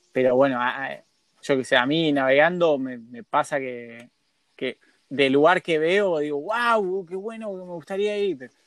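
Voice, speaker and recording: With an ordinary speaking voice, a man talks at a fairly slow pace and fairly high pitch, his intonation lively and his loudness swinging widely. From Argentina. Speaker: radio host. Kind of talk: casual interview.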